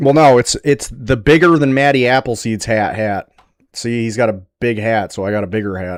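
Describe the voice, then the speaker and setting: A man speaks at a medium pitch and a moderate pace, his pitch varying in an ordinary way. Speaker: streamer. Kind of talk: live stream chat. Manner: casual, joking; usually quiet.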